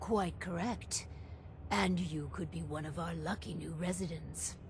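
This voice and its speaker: Someone speaks in a put-on character voice at a moderate pace over loud background noise. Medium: video game. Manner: blunt, crude.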